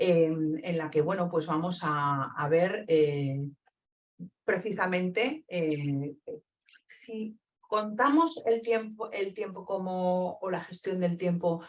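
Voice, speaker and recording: A woman speaks in a Castilian accent at a medium pitch. Her pace is very slow, with ordinary pitch variation. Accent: pure Castilian Spanish. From Spain, Castile (Zamora). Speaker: psychologist and trainer. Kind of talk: webinar lecture. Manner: hesitant, many fillers.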